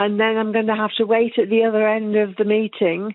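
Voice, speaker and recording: A woman talks at a fairly quick pace in a fairly high pitch. Her intonation is monotone and flat. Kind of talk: phone-in caller. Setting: phone line.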